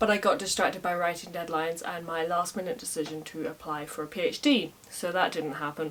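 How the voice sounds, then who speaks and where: There is noticeable background noise. A woman speaks at a fairly low pitch. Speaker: storyteller, medieval Irish scholar. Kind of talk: casual storytelling to camera. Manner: humorous, conversational.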